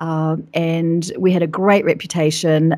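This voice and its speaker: In a New Zealand accent, a woman speaks in a very deep, low voice with monotone, flat intonation. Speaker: business coach. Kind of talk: interview. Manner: fast.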